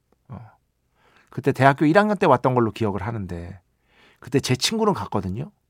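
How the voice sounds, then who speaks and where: A man speaks at a fairly quick pace, his pitch swinging very widely and his loudness swinging a lot, with long, frequent pauses. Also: medium pitch for a man. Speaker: radio host and music writer. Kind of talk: radio show monologue. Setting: radio studio. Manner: casual, conversational.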